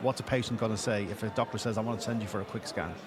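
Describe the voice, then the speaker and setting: Noticeable background noise sits under this recording. A man with an Irish accent talks at a very fast pace. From Ireland. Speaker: patient assistance organization leader. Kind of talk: podcast interview.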